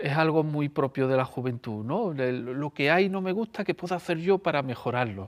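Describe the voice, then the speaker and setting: A man speaks at a fairly quick pace with lively intonation, recorded with a dry, close sound with no echo. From Andalusia, Seville area. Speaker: storyteller. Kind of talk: interview.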